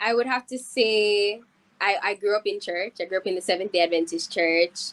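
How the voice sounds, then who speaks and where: This woman speaks in a Jamaican accent at a moderate pace, with medium pitch and ordinary pitch variation. The sound is dry and close, with no echo. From Jamaica, Saint Catherine (Spanish Town). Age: 20s. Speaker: singer. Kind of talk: interview.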